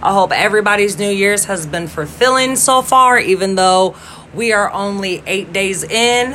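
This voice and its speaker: A woman's medium-pitched voice shows ordinary pitch variation. She keeps a moderate pace against noticeable background noise. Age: 30s. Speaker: podcaster. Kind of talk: casual monologue.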